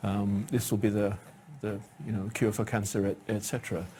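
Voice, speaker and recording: This somewhat breathy voice belongs to a man. He speaks with a British accent. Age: 60s. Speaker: cancer research professor. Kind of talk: lecture. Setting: stage with audience.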